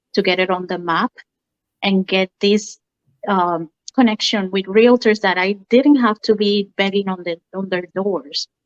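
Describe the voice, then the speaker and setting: A woman speaks with a Spanish accent at a medium pitch, fairly slowly and with fairly even intonation. The sound is dry and close with no echo, over a quiet background. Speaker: mortgage lender. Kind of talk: interview.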